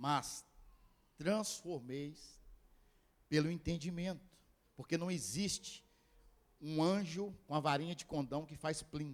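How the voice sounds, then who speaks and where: A man speaks at a fairly slow pace. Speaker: pastor. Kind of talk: sermon.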